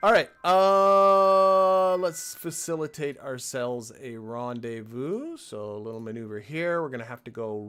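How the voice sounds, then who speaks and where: Here is a plain, everyday voice. It moves at a moderate pace with lively intonation. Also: man. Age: 60s. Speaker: gaming live streamer. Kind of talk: live gameplay commentary. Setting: live stream. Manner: casual, thinking aloud.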